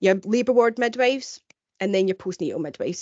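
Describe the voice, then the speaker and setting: A woman with a strong Glaswegian accent at a fairly quick pace. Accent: thick Glaswegian. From Scotland, Glasgow. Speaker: midwife. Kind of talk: webinar presentation.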